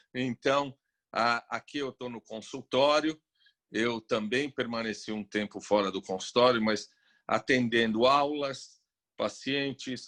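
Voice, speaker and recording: A man speaks at a medium pitch with ordinary pitch variation, the sound dry and close with no echo. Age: 60s. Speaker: psychiatrist. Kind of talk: interview. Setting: video call.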